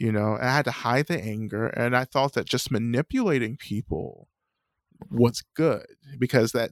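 A man with an American accent speaks in an unremarkable speaking voice at medium pitch and a moderate pace, with fairly even intonation, on a very clean recording with a silent background and a dry, close sound with no echo. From US South, North Georgia. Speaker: Buddhist teacher and author. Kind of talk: interview.

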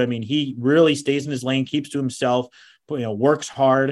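At a fairly quick pace, a man speaks at a medium pitch in an unremarkable speaking voice. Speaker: baseball broadcaster. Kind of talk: casual interview chat.

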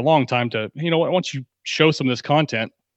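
An ordinary speaking voice, a man with an American accent. He talks at a fairly quick pace with ordinary pitch variation. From Texas, Dallas area. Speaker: fantasy football analyst. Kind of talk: casual chat.

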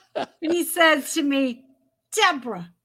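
Raised, projected woman's voice, bright and sharp in tone, at a fairly slow pace with ordinary pitch variation. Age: 50s. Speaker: former model and author. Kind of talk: interview.

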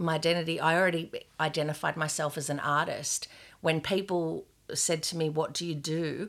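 A woman speaks with an Australian accent and a very deep, low pitch. Her intonation stays monotone and flat. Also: very clean recording, silent background. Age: 50s. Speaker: gallery owner and former police sergeant. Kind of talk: casual interview. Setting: in her art studio.

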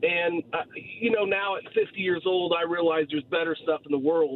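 A man with an American accent speaks in a high pitch. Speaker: caller, sports fan. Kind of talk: radio call-in. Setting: phone call. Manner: animated.

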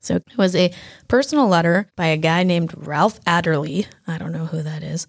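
A woman's fairly low voice with vocal fry, ordinary pitch variation and a moderate pace. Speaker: quizmaster and podcast host. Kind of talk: casual trivia game show. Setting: audio podcast, no video.

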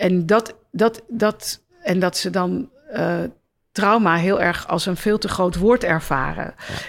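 Speaking at a very slow pace, a woman with a medium pitch and ordinary pitch variation shows vocal fry. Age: 50s. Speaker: doctor and psychologist. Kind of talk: interview. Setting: stage with audience.

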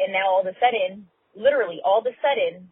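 A woman with an American accent talks at a moderate pace, her pitch varying in an ordinary way. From California. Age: 30s. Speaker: voicemail caller. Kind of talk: voicemail asking advice. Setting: recorded voicemail.

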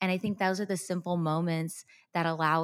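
Speaks with a Texas accent. The pace is moderate. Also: woman. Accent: American English, Texas. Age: 30s. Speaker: content creator. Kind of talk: interview. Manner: animated.

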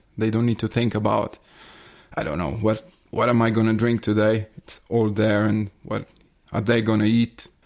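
Speaking at a moderate pace, a man with a non-native accent has a fairly low pitch and fairly even intonation. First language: not English. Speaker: soigneur. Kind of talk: casual interview chat.

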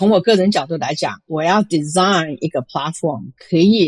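A woman with a fairly low pitch speaks at a moderate pace in a dry, close sound with no echo. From Taiwan (Chiayi), moved to US at 15. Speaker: venture capitalist. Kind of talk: interview. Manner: frequent hesitations and Chinese-English code-switching.

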